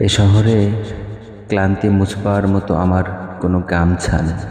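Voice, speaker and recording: A man talks in a fairly low voice with flat, monotone intonation over noticeable background noise. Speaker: voice-over artist. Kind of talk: poetry reading. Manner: emotional, somber.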